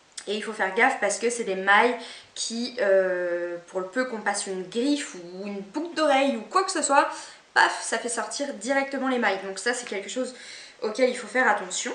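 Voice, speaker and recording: Over noticeable background noise and audible room echo, a woman with fairly high pitch talks at a moderate pace with lively intonation and big swings in loudness. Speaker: beauty and fashion vlogger. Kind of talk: haul video, casual talk to camera. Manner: casual, hesitant with many fillers.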